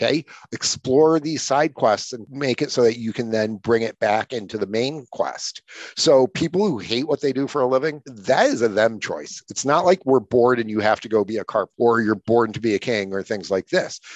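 It's an ordinary speaking voice: a man at a medium pitch, with ordinary pitch variation and a moderate pace. The sound is dry and close, with no echo. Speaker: author and speaker. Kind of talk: guided visualization, walking the listener through imagining their future; casual interview conversation. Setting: podcast interview.

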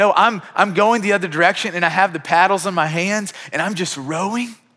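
A man talks at a fairly quick pace in a high, raised, projected voice with ordinary pitch variation. His tone is bright and sharp yet warm. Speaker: pastor. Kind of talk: sermon with a closing prayer. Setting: church. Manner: warm, sincere, conversational, earnest, with frequent restarts.

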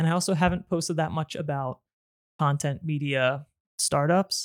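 In a very clean recording with a silent background and a dry, close sound with no echo, a man with a normal speaking voice talks at a fairly quick pace in a fairly high pitch with ordinary pitch variation. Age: 30s. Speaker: YouTube creator and podcast host. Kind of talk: solo podcast monologue. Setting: filming on camera at home. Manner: casual, with frequent fillers.

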